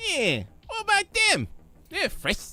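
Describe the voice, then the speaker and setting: Using a put-on character voice, the man pushes his pitch extremely high. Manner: menacing, gleeful.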